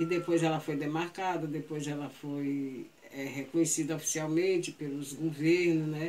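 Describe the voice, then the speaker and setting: A woman with a very deep, low pitch talks at a moderate pace with hardly any pauses. Her intonation is monotone and flat, and there is noticeable background noise. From Brazil, Ceará (Aquiraz). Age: 70s. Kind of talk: oral history storytelling. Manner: halting.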